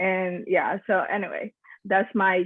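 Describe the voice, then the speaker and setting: A woman speaks at a medium pitch in a Nicaraguan Caribbean accent. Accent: Caribbean Nicaraguan accent, kept on purpose. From Nicaragua, Corn Island (Caribbean coast). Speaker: school teacher, church member. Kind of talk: casual discussion, personal testimony. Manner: hesitant, many fillers.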